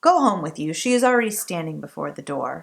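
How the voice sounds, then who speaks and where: A woman's put-on character voice, fairly low in pitch and very fast. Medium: read story. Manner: curt.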